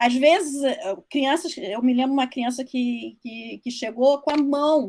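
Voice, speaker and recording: A woman's high-pitched voice moves at a fairly slow pace. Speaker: social worker speaking on foster care. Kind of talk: online talk to trainees. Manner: halting, with many false starts.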